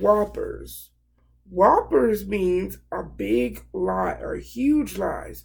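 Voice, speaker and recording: The voice is a put-on character voice with a raspy edge. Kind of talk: classroom read-aloud. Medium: read story. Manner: warm, encouraging, stops to explain.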